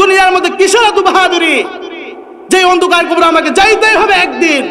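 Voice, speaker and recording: Noticeable background noise and audible room echo surround a man speaking in a raised, projected voice at an extremely high pitch. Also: fairly even intonation, very even loudness. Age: young. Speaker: Islamic preacher. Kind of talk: sermon. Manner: emphatic, repetitive.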